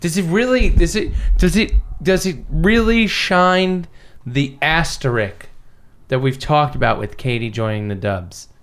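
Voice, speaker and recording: A man's fairly high voice, fairly slow, with very wide pitch swings. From Canada. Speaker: sports podcast co-host. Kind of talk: casual chat.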